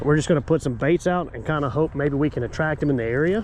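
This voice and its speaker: A man with a fairly high pitch talks while noticeable background noise runs behind him. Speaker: fishing channel host. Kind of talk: casual vlog narration. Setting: outdoors at a lake.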